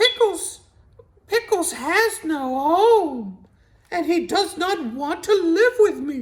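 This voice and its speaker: In a put-on character voice, a female-sounding speaker goes at a very slow pace with extremely high pitch for a woman. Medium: read story.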